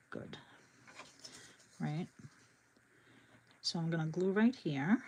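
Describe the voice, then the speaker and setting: Very slow, somewhat breathy speech from a woman with a Boston accent, fairly low in pitch, with lively intonation. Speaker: crafting YouTuber. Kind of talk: live craft tutorial. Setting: livestream. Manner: casual, chatty.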